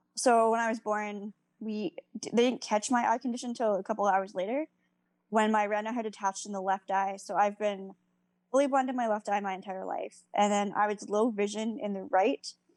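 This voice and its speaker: A woman speaks in a plain, everyday voice at a fairly high pitch and a moderate pace. Her intonation stays fairly even, and the sound is dry and close, with no echo. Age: 20s. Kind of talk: casual chat.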